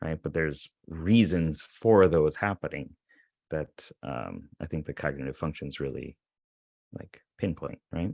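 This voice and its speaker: In a very deep, low voice with vocal fry, a man speaks at a fairly slow pace with ordinary pitch variation and big swings in loudness. The sound is dry and close, with no echo, on a very clean recording with a silent background. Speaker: YouTuber, psychology content creator. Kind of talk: casual chat.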